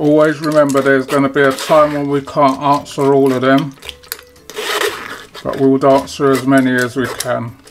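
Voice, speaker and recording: Long, frequent pauses punctuate this moderately paced speech, with noticeable background noise behind it. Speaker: home cook host. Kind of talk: cooking tutorial. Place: kitchen.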